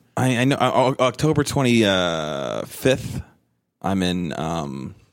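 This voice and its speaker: A man with an American accent speaks in a very deep, low voice with vocal fry. His pitch swings very widely. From New Jersey. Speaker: stand-up comedian. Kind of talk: casual chat.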